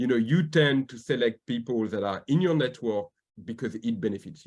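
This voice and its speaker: At a fairly quick pace, a man speaks with a slight French accent and a medium pitch. His pitch variation is ordinary, while his loudness swings widely. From France. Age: 40s. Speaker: diversity advocate and corporate governance expert. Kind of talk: interview.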